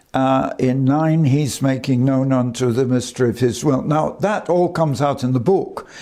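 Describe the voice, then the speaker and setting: In a room with audible echo, a man speaks at a moderate pace with a dark, mellow tone, ordinary pitch variation and very even loudness. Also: medium pitch for a man, hardly any pauses. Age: 90s. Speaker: preacher. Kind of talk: sermon. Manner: halting.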